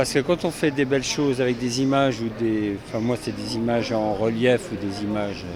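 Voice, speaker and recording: A man speaks at a medium pitch and a moderate pace with ordinary pitch variation. Audible room echo and noticeable background noise are present. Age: 60s. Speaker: sculptor and artist. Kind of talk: interview. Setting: equestrian show venue. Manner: hesitant, many fillers.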